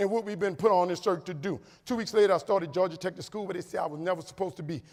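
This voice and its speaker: On a very clean recording with a silent background, a man with a high pitch speaks in an animated tone with ordinary pitch variation. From New Orleans, Louisiana. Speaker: motivational speaker. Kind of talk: keynote speech. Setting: stage with audience.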